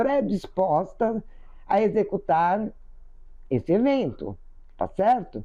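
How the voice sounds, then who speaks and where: Her pitch swings very widely around a medium level. This woman's tone is dark and mellow, with vocal fry. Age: 70s. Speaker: spiritual teacher. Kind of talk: spiritual talk. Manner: conversational.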